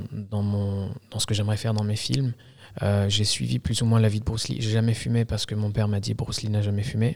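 Somewhat breathy, a man with fairly low pitch and ordinary pitch variation speaks at a fairly quick pace. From Algeria. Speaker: filmmaker. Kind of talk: casual interview. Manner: halting.

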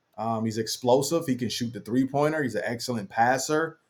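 Fairly quick male speech at a medium pitch, with ordinary pitch movement. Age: 40s. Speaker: former basketball player and analyst. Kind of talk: interview. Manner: hesitant, many fillers and repeats.

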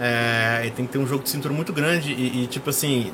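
A man speaks at a medium pitch. Noticeable background noise is present. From Brazil, São Paulo state. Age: 30s. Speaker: musician and music teacher. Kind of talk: casual interview.

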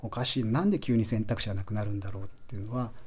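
A man's fairly low, somewhat breathy voice at a very fast pace. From Japan, Aichi (Toyohashi). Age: 40s. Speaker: chocolate company founder. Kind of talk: radio interview. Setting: radio studio.

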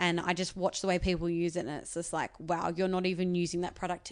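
The speaker talks at a fairly quick pace with an Australian accent. The background is quiet. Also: woman. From Australia, Sydney western suburbs. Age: 20s. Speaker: beauty YouTuber and TV presenter. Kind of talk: casual interview. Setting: living room in an apartment.

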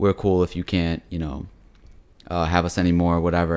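With a very deep, low pitch, a man is talking. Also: very clean recording, silent background. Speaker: podcast host. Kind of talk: casual chat. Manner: bantering, jokey.

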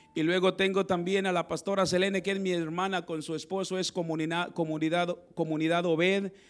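A man with a high-pitched voice at a fairly quick pace, music in the background. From Mexico, Zacatecas and Piedras Negras. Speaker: pastor. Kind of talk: sermon. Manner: animated.

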